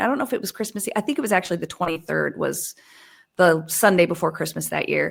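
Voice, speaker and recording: A woman is speaking. Her voice has vocal fry. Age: 40s. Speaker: news show host, guest. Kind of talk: casual chat.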